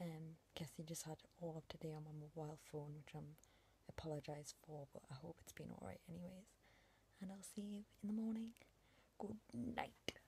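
A woman speaks at a fairly quick pace in a low pitch. Her tone is dark and mellow, with fairly even intonation.

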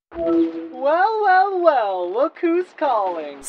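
In a put-on character voice, a female-sounding speaker uses a high pitch with very wide pitch swings. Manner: brash, self-absorbed, fast.

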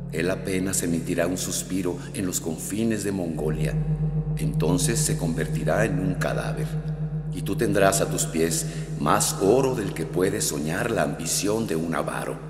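A man puts on a robotic character voice with a very deep, low pitch, talking at a moderate pace through a clear echo. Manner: seductive, mocking, persuasive.

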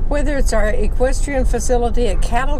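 A woman speaks at a moderate pace with fairly even intonation, the sound dry with no echo despite noticeable background noise. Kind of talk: reading a brochure aloud. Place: car. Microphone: camera far.

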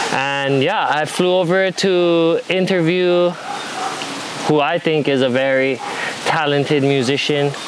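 A man with a fairly high pitch and ordinary pitch variation is heard over noticeable background noise. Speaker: podcast host. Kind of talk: casual podcast interview talk. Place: garden.

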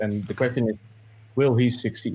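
Here a man speaks at a medium pitch. He has a Dutch accent. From Netherlands, Amsterdam. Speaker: movie reviewer, journalist. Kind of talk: casual review chat. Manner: halting, many fillers.

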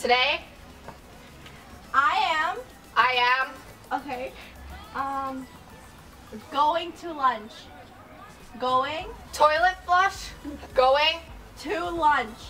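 With faint music in the background, a woman speaks at a very slow pace in a high pitch. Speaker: whisper challenge player. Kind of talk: whisper challenge game. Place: street. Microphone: camera far.

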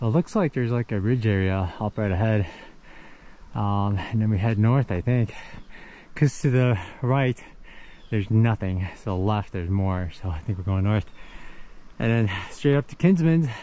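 Speaking at a moderate pace with long, frequent pauses, a man with a fairly low pitch and a dark, mellow tone shows ordinary pitch variation in a dry recording with no echo. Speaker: thru-hiker vlogger. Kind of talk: casual vlog chat. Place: forest. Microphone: phone near.

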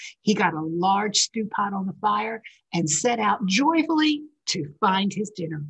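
A natural reading voice is heard, with only quiet in the background.

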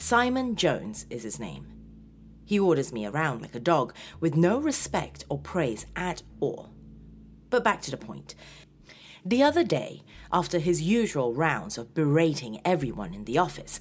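The speech moves at a moderate pace with long, frequent pauses over light background noise. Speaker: horror story narrator. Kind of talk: dramatic story narration.

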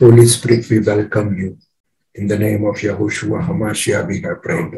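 Somewhat breathy, the man has a fairly low pitch and a dark, mellow tone. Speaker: prayer participant. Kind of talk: opening prayer and scripture reading.

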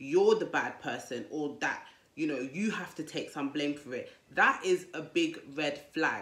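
With audible room echo, the speaker moves at a fairly slow pace with ordinary pitch variation. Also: woman, very deep, low pitch for a woman. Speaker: dating advice vlogger. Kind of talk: casual vlog advice talk. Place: home room. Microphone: lapel.

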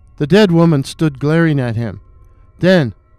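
With a dramatic tone, a man speaks at a high pitch with ordinary pitch variation. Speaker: storyteller and horror writer. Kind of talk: horror folktale narration. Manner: dramatic, suspenseful storytelling; measured, spooky pacing.

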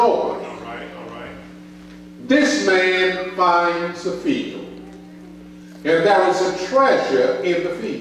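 A man in strong room echo, with light background noise. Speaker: preacher. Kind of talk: sermon. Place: church.

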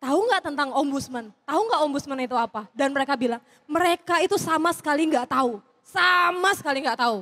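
A woman talks at a fairly quick pace in a high pitch. Her tone is bright and sharp, and the background is quiet. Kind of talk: stand-up comedy; stand-up comedy routine. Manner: casual, chatty, relaxed. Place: stage. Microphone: handheld.

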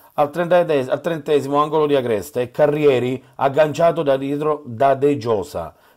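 A man with an unremarkable speaking voice keeps a moderate pace and a fairly high pitch. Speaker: sports reporter. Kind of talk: sports match report with play-by-play recap voiceover. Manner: clipped, minute-by-minute, reports each chance in turn.

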